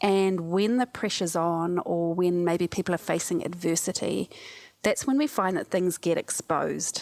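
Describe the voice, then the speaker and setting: In a New Zealand accent, a woman with a fairly low pitch speaks at a moderate pace with ordinary pitch variation, in a very clean recording with a silent background and a dry, close sound with no echo. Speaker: cognitive scientist and disaster relief specialist. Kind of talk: podcast interview.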